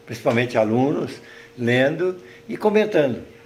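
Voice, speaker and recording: A man's voice with audible room echo. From Minas Gerais, Brazil (Triângulo Mineiro). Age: 80s+. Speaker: writer and retired teacher. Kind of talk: interview.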